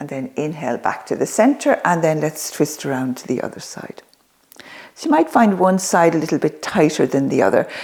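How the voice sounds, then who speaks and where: Speaking at a fairly quick pace, a woman with a very deep, low pitch keeps a calm tone while her intonation stays lively and her loudness swings widely. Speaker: yoga and senior fitness instructor. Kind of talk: exercise tutorial. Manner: calm yoga teaching voice.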